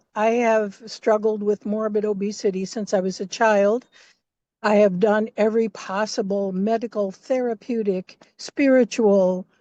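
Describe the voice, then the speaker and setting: Dark and mellow in tone, a woman's voice comes through flat and monotone, with a dry, close sound with no echo and a quiet background. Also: fairly high pitch for a woman, fairly slow pace. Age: 70s. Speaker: community participant. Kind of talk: personal testimony.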